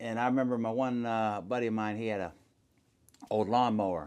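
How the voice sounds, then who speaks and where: A man with an American accent and a normal speaking voice, medium in pitch, at a moderate pace. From Akron, Ohio. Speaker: pastor. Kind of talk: podcast interview answer. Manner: casual, conversational.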